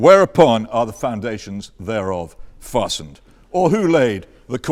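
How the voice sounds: The reading comes in a natural voice.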